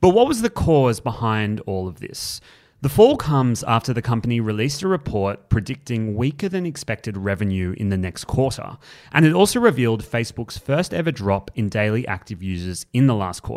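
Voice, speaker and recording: This man speaks with an Australian accent at a medium pitch, using lively intonation and a fairly quick pace, in a very clean recording with a silent background. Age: 20s. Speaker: news podcast host. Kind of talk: news podcast.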